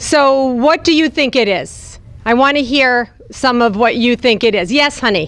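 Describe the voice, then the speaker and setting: Noticeable background noise sits behind a woman with an American accent and a high pitch. Her pace is fairly slow, her loudness very even and her pitch variation ordinary. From New Jersey. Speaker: speaker at a youth retreat. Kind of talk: talk to children's group. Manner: animated.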